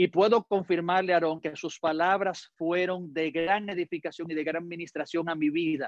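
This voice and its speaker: A Dominican accent with hardly any pauses. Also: moderate pace. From Dominican Republic. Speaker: pastor. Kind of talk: sermon.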